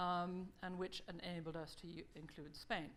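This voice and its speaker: Audible room echo surrounds the voice. A woman talks at a medium pitch. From Germany. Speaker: think-tank fellow presenting a survey report. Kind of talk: conference presentation. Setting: conference stage with audience. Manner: fast.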